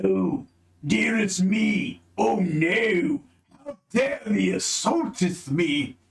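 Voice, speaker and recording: A man puts on a character voice, pitched high. He talks at a very slow pace. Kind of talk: archaic, old-fashioned. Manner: sleepy, alarmed.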